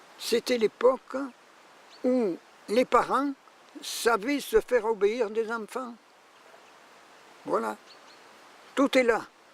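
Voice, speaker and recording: A man speaks at an extremely high pitch and a very slow pace, with fairly even intonation. Long pauses come often. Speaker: retired schoolteacher. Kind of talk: documentary interview, reminiscence.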